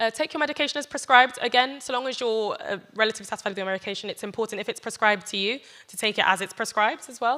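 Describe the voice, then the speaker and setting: On a very clean recording with a silent background, a woman with a British accent speaks at a very fast pace in a bright, sharp tone with ordinary pitch variation. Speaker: doctor giving health talk. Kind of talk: health talk to church audience.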